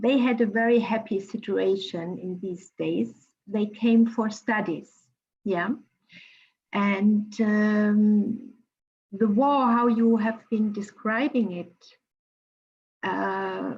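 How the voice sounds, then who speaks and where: Somewhat breathy and fairly high in pitch, a woman speaks very slowly with long, frequent pauses and fairly even intonation. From Germany. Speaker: cultural mediator. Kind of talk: panel discussion. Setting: video call.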